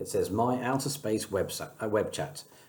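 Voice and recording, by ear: The words are read aloud in a natural voice.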